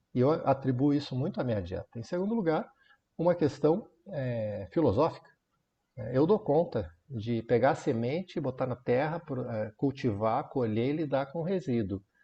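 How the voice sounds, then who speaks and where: A man talks at a moderate pace with a medium pitch. His voice is somewhat breathy, with lively intonation. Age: 60s. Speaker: Zen monk. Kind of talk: talk on Zen practice.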